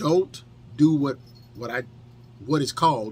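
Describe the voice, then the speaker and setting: Lively in intonation and somewhat breathy, a man with an American accent speaks at medium pitch. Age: 50s. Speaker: firearms instructor and detailing video creator. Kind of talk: tutorial. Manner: casual, conversational with fillers.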